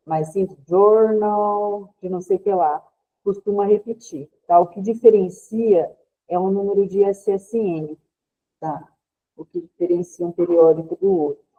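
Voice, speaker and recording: A woman's plain, everyday voice at a medium pitch, fairly slow, with fairly even intonation and big swings in loudness. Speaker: librarian, trainer. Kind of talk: online training lecture.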